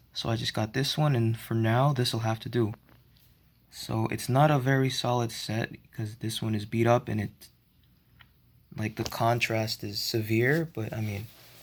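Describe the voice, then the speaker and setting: Somewhat breathy, a man talks at a medium pitch and moderate pace, with ordinary pitch variation. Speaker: model train hobbyist vlogger. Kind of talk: casual show-and-tell narration. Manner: halting, many fillers; shaky voice.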